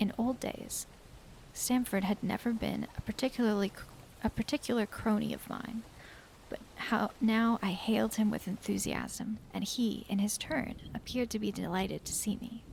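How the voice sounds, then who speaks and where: A soft-spoken woman talks at a moderate pace. Her fairly high pitch stays monotone and flat. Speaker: vtuber streamer. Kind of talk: ASMR book reading.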